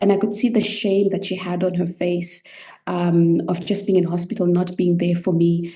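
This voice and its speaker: A woman speaks with a Zimbabwean accent and a dark, mellow tone. Her intonation stays fairly even. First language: Shona. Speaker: medical anthropologist and coach. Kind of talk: podcast interview, personal story.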